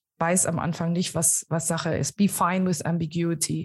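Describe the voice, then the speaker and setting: Against a quiet background, a woman's fairly low voice comes through somewhat breathy. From Germany. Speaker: innovation coach. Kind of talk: interview. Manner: halting, many fillers.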